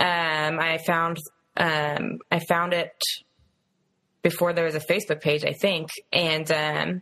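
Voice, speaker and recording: Fairly low in pitch, a woman's voice has a bright, sharp tone and a monotone, flat intonation at a very slow pace. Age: 30s. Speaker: podcast co-host, activist. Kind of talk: casual chat. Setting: video call.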